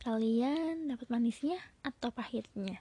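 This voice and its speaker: A dark, mellow tone at a fairly slow pace, with ordinary pitch variation and a dry, close sound with no echo. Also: woman. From Bandung, West Java, Indonesia. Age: 20s. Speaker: podcaster and university student. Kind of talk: casual solo podcast talk.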